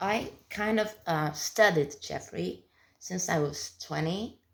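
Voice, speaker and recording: A woman speaks with a southern European accent. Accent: southern European, non-native English. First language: not English. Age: 30s. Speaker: vlogger. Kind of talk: casual monologue. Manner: halting.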